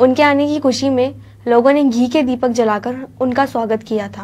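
Fairly even intonation and a fairly slow pace from a woman with a high pitch. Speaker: news presenter. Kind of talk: news report. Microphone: lapel.

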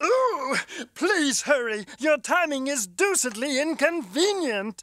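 This is a cartoonish character voice with high pitch. It moves along at a fairly slow pace. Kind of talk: old-fashioned posh villain speech. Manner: gloating, theatrical, villainous.

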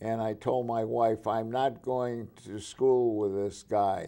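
Against a quiet background, a man talks at a very slow pace in a dark, mellow tone. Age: 90s. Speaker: World War 2 veteran, architect. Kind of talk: interview answer. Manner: humorous, laughs often. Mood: relaxed, humorous. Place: studio. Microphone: lapel.

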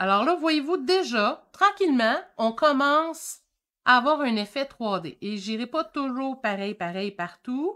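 Very slow and raised to carry, this woman's high voice has a bright, sharp tone, a Quebec accent and very wide pitch swings over a quiet background. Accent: Québécois French. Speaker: painting teacher. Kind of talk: live-stream painting tutorial. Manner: animated. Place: home room. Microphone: webcam.

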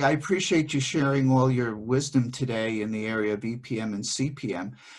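A man at a moderate pace with hardly any pauses, over a quiet background. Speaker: podcast host and business consultant; podcast host. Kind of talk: interview. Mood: warm, appreciative. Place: home room. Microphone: video call.

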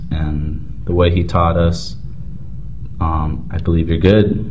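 Over light background noise, a man speaks with a very deep, low pitch and ordinary pitch variation. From New Mexico (Navajo). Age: young. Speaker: interviewee. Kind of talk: interview testimony. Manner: halting. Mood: thoughtful, reflective.

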